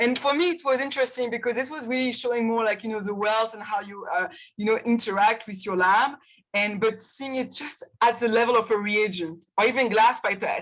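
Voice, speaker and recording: Fairly high-pitched and at a fairly quick pace, a woman talks in a French accent with ordinary pitch variation. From France. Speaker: chemistry professor. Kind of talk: panel discussion. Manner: halting.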